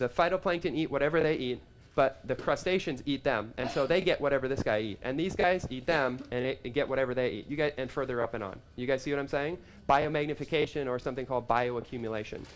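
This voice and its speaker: At a very fast pace, a man talks at a fairly high pitch with ordinary pitch variation. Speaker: health practitioner giving a talk. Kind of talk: live seminar talk. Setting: live event with audience. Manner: animated.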